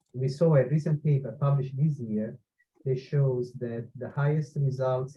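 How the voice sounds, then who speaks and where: A man's dark, mellow tone comes out somewhat breathy, his intonation fairly even. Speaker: engineering professor. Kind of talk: webinar Q&A answer. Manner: hesitant, many fillers.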